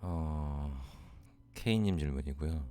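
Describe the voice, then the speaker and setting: A man's very deep, low voice carries a dark, mellow tone and ordinary pitch variation. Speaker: real estate investment advisor answering questions. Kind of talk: Q&A advice talk.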